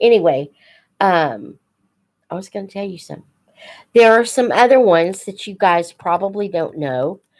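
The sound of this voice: A woman with a slightly mellow tone and vocal fry, lively intonation, and a fairly slow pace.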